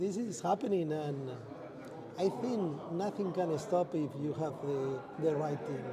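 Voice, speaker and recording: Fairly slowly and at a fairly high pitch, a man talks as noticeable background noise continues. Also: ordinary pitch variation. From Spain. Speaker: space industry executive. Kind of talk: interview. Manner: halting.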